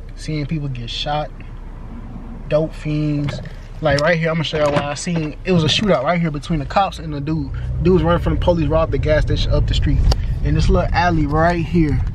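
Noticeable background noise runs under a dry sound with no echo. A man with an American accent talks at a fairly quick pace with long, frequent pauses. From Houston, Texas. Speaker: vlogger. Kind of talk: casual vlog. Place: car. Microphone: phone near.

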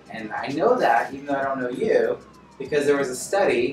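A man talks fairly quickly. Music is clearly audible behind him. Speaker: speaker. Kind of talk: presentation talk to audience. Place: meeting room.

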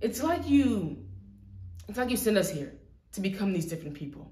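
Room echo is audible as this woman talks. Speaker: actor performing an audition monologue. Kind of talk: dramatic monologue. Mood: earnest, emotional, confrontational. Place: empty room.

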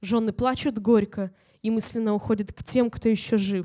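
A woman speaks in a plain, everyday voice, pitched fairly high. Her pace is moderate. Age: young. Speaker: humor writer. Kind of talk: reading aloud. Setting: stage with audience.

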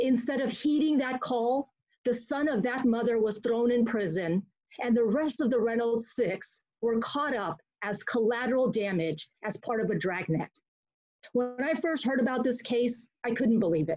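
A woman's high-pitched voice is heard against a quiet background. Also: ordinary pitch variation, moderate pace. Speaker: community advocate. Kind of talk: prepared statement. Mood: earnest, indignant. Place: home room. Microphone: webcam.

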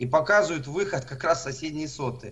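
A man with a normal speaking voice, fairly high pitch, lively intonation and a moderate pace. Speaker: alternative earth theory presenter. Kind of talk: presentation.

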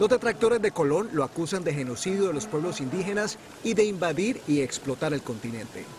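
A man with a high pitch talks at a fairly quick pace, the sound dry with no echo but with noticeable background noise. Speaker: news reporter. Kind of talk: news reading.

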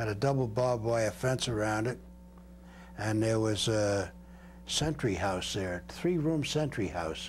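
Over light background noise, a somewhat breathy man talks with an American accent. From Brooklyn, New York; New York. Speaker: war veteran. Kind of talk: interview testimony. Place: home room. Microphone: lapel.

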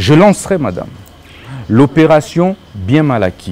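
Light background noise sits under a man whose voice has very wide pitch swings. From DR Congo. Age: 30s. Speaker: presidential candidate; candidate. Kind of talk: political interview. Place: studio. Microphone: lapel.

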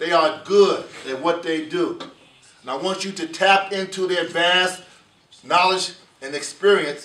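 With a fairly even intonation and a high pitch, a man speaks in an American accent at a fairly slow pace, with audible room echo. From United States. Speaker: program director of a law enforcement training academy. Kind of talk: welcome address to a class. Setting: in-person address to a class. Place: meeting room. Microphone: camera far.

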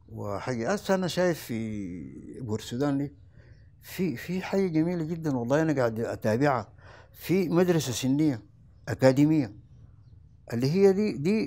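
A man with a Sudanese accent and a fairly high pitch speaks at a moderate pace in a dark, mellow tone, his pitch swinging very widely. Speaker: former sports club official. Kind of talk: interview, reminiscing. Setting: at his home. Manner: halting, with fillers. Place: home room.

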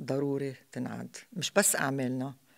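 A woman talks at a fairly slow speed, and the background is quiet. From Lebanon. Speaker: theatre actress. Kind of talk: interview. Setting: stage with audience. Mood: calm, reflective. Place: hall. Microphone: studio mic.

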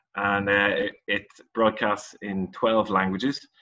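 A man talks in a low pitch with a bright, sharp tone.

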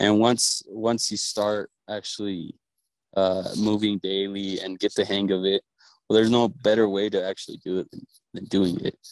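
This man's pitch sits fairly low and his intonation stays monotone and flat. He keeps a moderate pace, and the sound is dry and close with no echo. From northern Mexico. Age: 20s. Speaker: cattle rancher. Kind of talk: interview. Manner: halting, many repetitions.

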